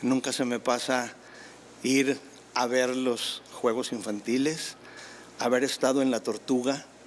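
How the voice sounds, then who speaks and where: Speaking very slowly with long, frequent pauses, a man keeps a medium pitch, a monotone, flat intonation and very even loudness. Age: 60s. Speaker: tennis figure. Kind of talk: interview.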